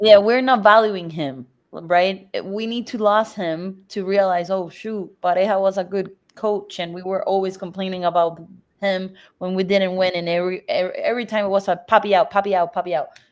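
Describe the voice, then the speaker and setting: With a quiet background behind her, a woman speaks at a moderate pace in a medium pitch with fairly even intonation. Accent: Spanish. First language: Spanish. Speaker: soccer podcast co-host. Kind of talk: casual chat.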